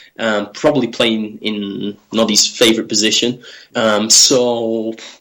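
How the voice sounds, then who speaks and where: A man with a Manchester accent, medium pitch, monotone, flat intonation and a fairly slow pace. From Manchester, northern England. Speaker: football journalist. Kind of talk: podcast interview. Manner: hesitant, many fillers.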